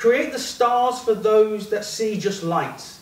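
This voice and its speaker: A high-pitched man at a fairly slow pace, with audible room echo. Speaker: performance poet. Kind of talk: spoken word poetry performance, rhythmic and rhyming. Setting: stage with audience in a pub. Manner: impassioned, building to a declamatory climax; punchy, clipped rhetorical delivery. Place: bar.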